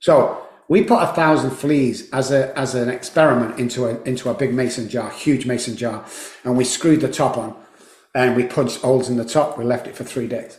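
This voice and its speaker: In a room with audible echo, a man speaks at a fairly quick pace in a medium pitch, sounding somewhat breathy. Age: 60s. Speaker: addiction psychologist and recovery coach. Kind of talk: casual interview. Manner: animated.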